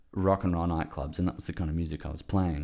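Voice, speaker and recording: Recorded very cleanly against a silent background, a man speaks with an Australian accent. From Western Australia. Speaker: filmmaker. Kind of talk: casual chat.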